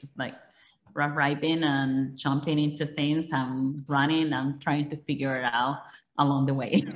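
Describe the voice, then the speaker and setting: A woman speaks in a very deep, low voice with a Dominican accent. Her delivery is monotone and flat, at a moderate pace. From Dominican Republic. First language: Spanish. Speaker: politician. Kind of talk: interview. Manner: halting.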